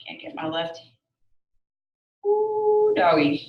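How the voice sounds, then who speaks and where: A woman with a Southern US accent speaks amid audible room echo. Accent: southern drawl. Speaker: yoga instructor. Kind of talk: fitness class instruction.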